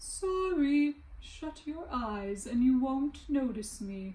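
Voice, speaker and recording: Using a put-on character voice, a woman speaks very slowly at a high pitch with lively intonation. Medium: read story. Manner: soft, caressing.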